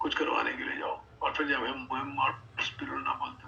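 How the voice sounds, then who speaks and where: A man talks while noticeable background noise fills the clip. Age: 60s. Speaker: health product network marketing leader. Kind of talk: motivational sales session. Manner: animated.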